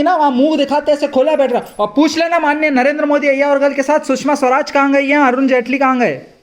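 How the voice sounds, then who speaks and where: An animated tone at a moderate pace, hardly any pauses, and noticeable background noise. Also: man. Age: 70s. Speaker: retired community activist. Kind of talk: vlog monologue. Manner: animated, rambling code-switching.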